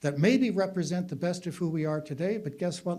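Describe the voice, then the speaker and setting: A man's voice with a dark, mellow tone carries audible room echo. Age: 70s. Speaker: philosopher. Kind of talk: conference talk.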